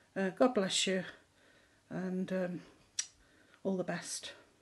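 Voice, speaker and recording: A woman with a British accent speaks in a somewhat breathy voice. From England. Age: 60s. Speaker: member of the public. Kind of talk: video testimony. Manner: halting, many filler words. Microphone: phone near.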